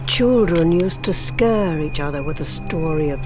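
A woman speaks with music in the background. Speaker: narrator. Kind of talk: horror short film narration.

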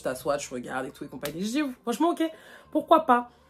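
Talking very fast, a woman sounds animated, her pitch swinging very widely. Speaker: YouTuber; vlogger. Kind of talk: storytime. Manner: casual, many fillers. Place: home room. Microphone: phone near.

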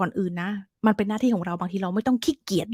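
Very clean recording with a silent background, dry and close with no echo, a woman at medium pitch, somewhat breathy and animated in tone. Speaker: English teacher. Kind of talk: tutorial. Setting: live stream.

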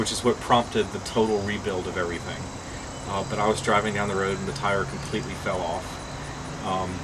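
Fairly quick speech from a man, noticeable background noise around it. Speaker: interviewee. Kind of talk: interview answer. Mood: amused storytelling. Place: bus. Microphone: camera far.

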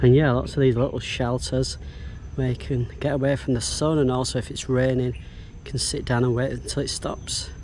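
Recorded dry with no echo over light background noise, a man with a British accent speaks at a moderate pace. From UK. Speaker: travel vlogger. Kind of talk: travel vlog narration. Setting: outdoors. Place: market. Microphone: phone near.

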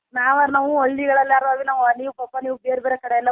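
The voice belongs to a woman and sits high. Her delivery is flat and monotone. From Karnataka, Mandya district. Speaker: caller, village woman in a loan group. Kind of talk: phone-in complaint.

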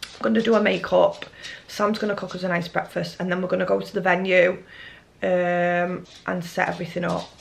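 A woman speaks at a fairly quick pace, with noticeable background noise and audible room echo in the recording. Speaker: vlogger. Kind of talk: casual vlog chat.

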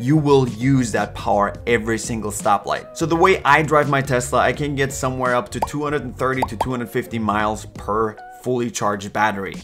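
Over clear music in the background, a man talks with hardly any pauses and ordinary pitch variation. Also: moderate pace. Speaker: car owner reviewer. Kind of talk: product review talk. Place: home room.

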